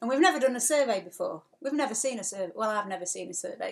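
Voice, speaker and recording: A woman speaks with an English accent at a fairly quick pace. Her intonation is lively. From England. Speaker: sailing vlogger. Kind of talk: live stream chat. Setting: live stream from home. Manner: fast.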